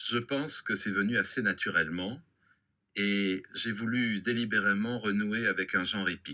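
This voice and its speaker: A man's bright, sharp voice at a fairly slow pace, broken by long, frequent pauses. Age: 60s. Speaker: novelist. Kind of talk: interview. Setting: studio.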